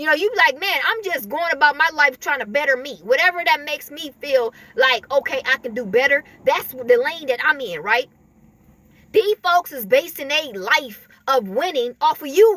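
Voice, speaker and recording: Raising and projecting her voice, a woman speaks at a moderate pace with a high pitch, lively intonation and big swings in loudness. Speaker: spiritual video creator. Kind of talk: spiritual talk to camera. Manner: halting, with many repetitions.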